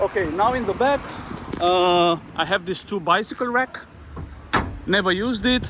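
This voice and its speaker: This speaker has a non-native accent and ordinary pitch variation, moving at a moderate pace. Long, frequent pauses break up the speech. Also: man, high pitch for a man. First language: not English. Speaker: vlogger selling his motorhome. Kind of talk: casual walkthrough tour. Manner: halting, many fillers.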